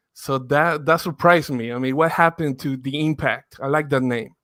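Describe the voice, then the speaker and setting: Here a man talks with a Spanish accent at a fairly high pitch. His pace is moderate and his intonation fairly even. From Mexico (Torreon). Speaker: football podcaster, guest. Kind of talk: casual podcast interview.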